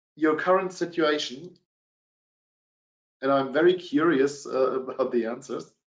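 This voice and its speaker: Speaking fairly slowly with long, frequent pauses, a man with a German accent uses a fairly high pitch. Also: ordinary pitch variation. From Germany. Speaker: sales director. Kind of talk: webinar presentation. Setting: online webinar. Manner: hesitant with many fillers.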